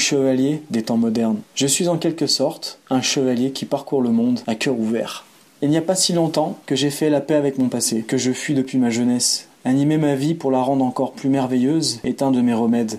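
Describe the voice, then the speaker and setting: A man speaks in an ordinary speaking voice at a medium pitch and moderate pace, with ordinary pitch variation and very even loudness. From France, Savoie (Aix-les-Bains). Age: 30s. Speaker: boxer, cultural activity leader and traveler. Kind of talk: reading aloud a personal narrative.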